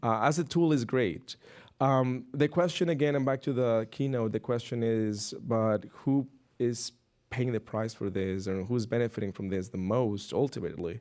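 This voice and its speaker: This man has a non-native accent, a medium pitch and ordinary pitch variation. The recording is very clean, with a silent background. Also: moderate pace. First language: not English. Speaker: researcher. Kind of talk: panel discussion. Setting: stage with audience. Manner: halting.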